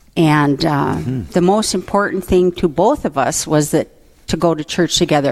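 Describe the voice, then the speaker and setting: This woman has a warm tone and a very deep, low pitch with ordinary pitch variation. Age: 70s. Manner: warm, laughs often.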